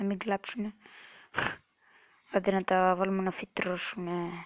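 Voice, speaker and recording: A soft-spoken woman talks at a medium pitch with fairly even intonation. The sound is dry and close, with no echo. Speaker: gaming youtuber. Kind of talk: gameplay commentary. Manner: halting.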